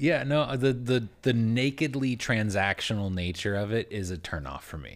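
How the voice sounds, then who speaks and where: This man has a plain, everyday voice at a medium pitch, with lively intonation at a moderate pace and hardly any pauses. The recording is very clean, with a silent background. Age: 30s. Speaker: podcast co-host. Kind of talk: casual chat.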